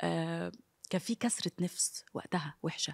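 Fairly low and somewhat breathy, a woman speaks at a fairly slow pace. The sound is dry and close with no echo, on a very clean recording with a silent background. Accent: Egyptian. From Egypt. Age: 30s. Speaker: TV presenter. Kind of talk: interview. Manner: animated.

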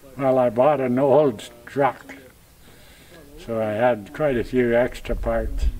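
Music plays in the background as a man speaks very slowly with fairly even intonation. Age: 80s+. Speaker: retired farmer. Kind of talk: interview answer. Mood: cheerful, relaxed. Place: farm.

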